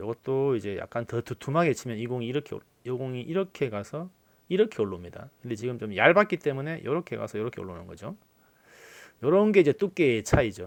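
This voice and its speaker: Speaking at a very fast pace, a man with a medium pitch uses very wide pitch swings on a very clean recording with a silent background. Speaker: billiards YouTuber and commentator. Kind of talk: game commentary with personal remarks.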